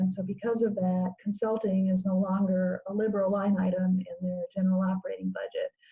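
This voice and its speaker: Noticeable background noise accompanies a woman's speech. Her medium-pitched voice stays monotone and flat. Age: 70s. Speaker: grant writing consultant. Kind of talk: interview.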